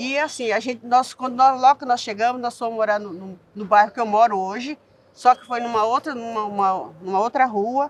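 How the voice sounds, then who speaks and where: A woman's fairly high voice at a moderate pace. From São Paulo city outskirts, Brazil (childhood in southern Minas Gerais). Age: 60s. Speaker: community activist. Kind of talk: interview testimony. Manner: halting, with many false starts.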